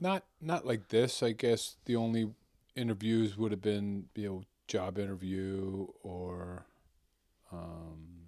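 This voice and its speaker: Speaking at a very slow pace, a man with a fairly low pitch has a dark, mellow tone and ordinary pitch variation. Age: 60s. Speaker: retired union carpenter. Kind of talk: casual interview.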